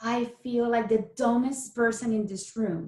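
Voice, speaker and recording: A woman with a Spanish accent speaks very slowly in a fairly high, somewhat breathy voice with ordinary pitch variation. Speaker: keto coach. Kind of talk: interview conversation. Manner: animated.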